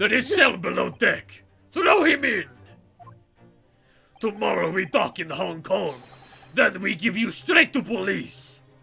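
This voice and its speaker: Over faint music in the background, a man uses a put-on character voice, raised and projected, high in pitch and at a fairly slow pace. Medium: game stream. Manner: loud, blunt.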